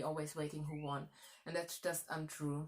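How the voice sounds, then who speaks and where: German-accented speech from a woman. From Germany. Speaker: historian. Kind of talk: history talk. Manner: halting, self-correcting.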